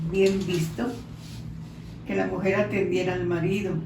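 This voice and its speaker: A woman is heard over noticeable background noise. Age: 80s+. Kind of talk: interview answer.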